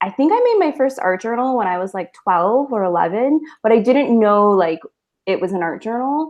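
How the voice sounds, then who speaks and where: A woman talks at a moderate pace with an American accent and a normal speaking voice. Her intonation is lively and her pitch fairly high. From United States. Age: 20s. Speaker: artist, art journaler. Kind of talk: casual interview.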